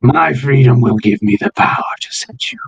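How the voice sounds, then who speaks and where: A raspy, put-on character voice from a man, medium in pitch, at a moderate pace. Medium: actual play. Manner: cryptic, manipulative.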